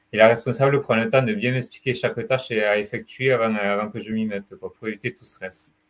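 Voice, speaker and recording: A man talks here. His pace is fairly quick. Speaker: retail sales advisor with mental illness. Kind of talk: testimony. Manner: halting.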